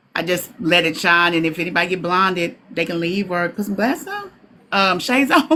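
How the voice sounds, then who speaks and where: The speaker talks at a fairly quick pace with a Southern US accent and ordinary pitch variation, over noticeable background noise. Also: woman, medium pitch for a woman. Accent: US South. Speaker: content creator. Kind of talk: interview. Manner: loud.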